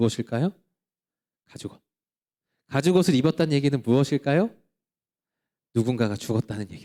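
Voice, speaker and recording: A man with a dark, mellow tone and fairly high pitch speaks at a fairly quick pace with lively intonation and long, frequent pauses, in a dry, close sound with no echo. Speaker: pastor. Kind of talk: sermon. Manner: fast.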